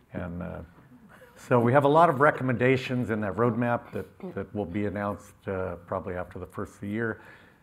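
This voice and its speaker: A man speaks fairly quickly in a fairly low pitch, with an unremarkable speaking voice. His intonation is lively, and his loudness swings widely. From California, US. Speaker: farmer. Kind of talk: conference panel discussion. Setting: stage with audience.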